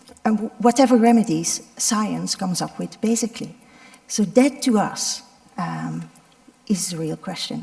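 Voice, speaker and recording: Over noticeable background noise, a woman speaks with big swings in loudness and ordinary pitch variation. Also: fairly high pitch for a woman, fairly slow pace. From Belgium, Ardennes. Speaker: doctor, head of a medical volunteer organization. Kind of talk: panel talk. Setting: stage with audience. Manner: halting, many fillers.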